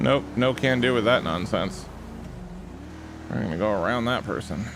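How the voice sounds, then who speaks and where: Over noticeable background noise, a man with a fairly low pitch speaks at a moderate pace in a relaxed tone with lively intonation. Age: 40s. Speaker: streamer playing police roleplay game. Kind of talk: live gaming stream chat. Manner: casual, relaxed.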